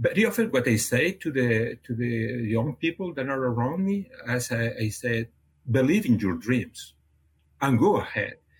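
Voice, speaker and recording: A man with a Catalan accent speaks in a medium pitch, somewhat breathy. His intonation is lively. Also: moderate pace. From Catalonia, Spain (near Barcelona). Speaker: animal nutrition research scientist. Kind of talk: interview. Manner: halting, frequent repetitions.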